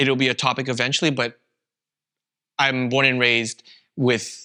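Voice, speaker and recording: A man with a Canadian accent and a bright, sharp tone. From Canada. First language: Vietnamese. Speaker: podcast co-host, content creator. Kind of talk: casual chat.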